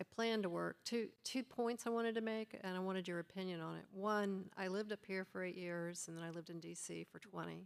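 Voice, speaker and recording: A woman speaks in a normal speaking voice of medium pitch, at a fairly quick pace with fairly even intonation and hardly any pauses. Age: 60s. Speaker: audience member, engineer. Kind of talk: audience question.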